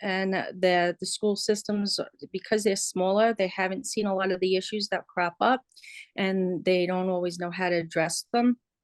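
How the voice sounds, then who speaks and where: The speaker is a woman who talks at a moderate pace. She has a New York accent. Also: dry, close sound with no echo. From New York City, Queens. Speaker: interviewee, resident. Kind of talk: interview. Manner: hesitant, many fillers.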